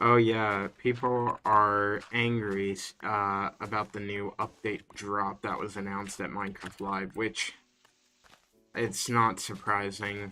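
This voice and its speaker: Music plays behind a man with a fairly low voice. He speaks very slowly in a monotone, flat intonation. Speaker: gaming streamer. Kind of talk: casual livestream chat. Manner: casual, filler-heavy.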